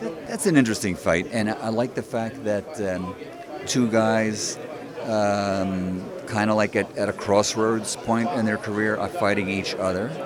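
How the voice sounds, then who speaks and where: A man's fairly low voice at a moderate pace, with ordinary pitch variation and crowd noise behind him. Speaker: ring announcer. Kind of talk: interview answer.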